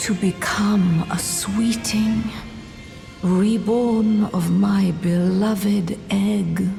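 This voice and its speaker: A put-on character voice at a very slow pace, with clear background noise. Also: woman, medium pitch for a woman. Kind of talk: archaic queenly speech. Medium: solo performance. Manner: soft, creepy, dreamy.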